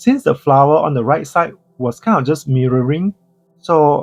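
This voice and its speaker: Recorded with a dry, close sound and no echo, a man with a non-native accent speaks in a calm tone with lively intonation. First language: not English. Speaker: coloring book artist. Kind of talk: narrated tutorial voiceover. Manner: calm, explanatory.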